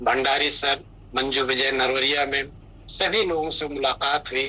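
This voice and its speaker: Noticeable background noise sits behind a man whose voice is fairly high. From India, Bihar (Nawada). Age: 60s. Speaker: retired officer giving customer testimonial. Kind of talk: testimony.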